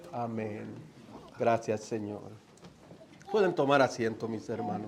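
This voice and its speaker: A man's medium-pitched voice at a fairly slow pace, with ordinary pitch variation, noticeable background noise and audible room echo. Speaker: guest preacher. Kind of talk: sermon. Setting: church.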